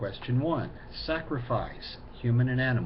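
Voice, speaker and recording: The voice belongs to a man and sounds somewhat breathy. His pace is fairly slow. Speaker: pagan video blogger. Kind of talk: casual talk to camera, answering viewer questions.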